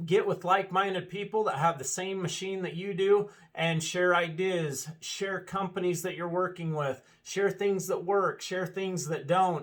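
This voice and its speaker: A man speaks loudly at a fairly slow pace, with a high pitch and fairly even intonation. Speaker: dealership owner. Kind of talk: casual video address.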